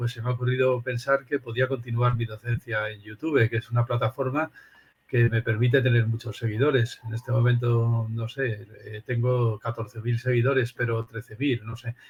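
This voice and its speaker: A man speaks at a moderate pace in a monotone, flat delivery. His voice is somewhat breathy. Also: medium pitch for a man. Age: 60s. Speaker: philosophy professor. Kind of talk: interview.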